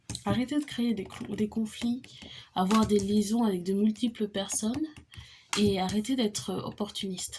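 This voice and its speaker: A woman speaks at a fairly high pitch over noticeable background noise. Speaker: tarot reader. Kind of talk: tarot reading monologue. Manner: fast; halting.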